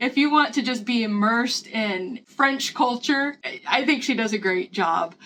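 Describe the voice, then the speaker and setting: Her high-pitched voice is bright and sharp, with an animated tone and lively intonation. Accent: Midwestern. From US Midwest, Missouri. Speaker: lifestyle vlogger. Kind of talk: casual vlog talk, book review and cooking tutorial. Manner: chatty, animated.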